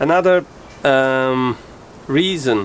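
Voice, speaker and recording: Against noticeable background noise, a man with a medium-pitched voice talks at a very slow pace. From Italy. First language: Italian. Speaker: sailing vlogger, boat owner. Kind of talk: boat tour walkthrough. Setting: outdoors on a sailboat. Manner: hesitant, many filler sounds.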